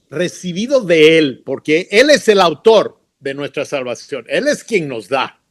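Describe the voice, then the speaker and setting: At a very slow pace, a man speaks with very wide swings in pitch. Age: 70s. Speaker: missionary and educator. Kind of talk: interview. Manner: halting.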